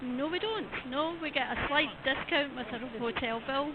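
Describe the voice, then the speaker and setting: A woman's high voice in a Scottish accent at a moderate pace, with ordinary pitch variation, audible room echo and noticeable background noise. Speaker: event official. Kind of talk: interview. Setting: outdoors at event car park.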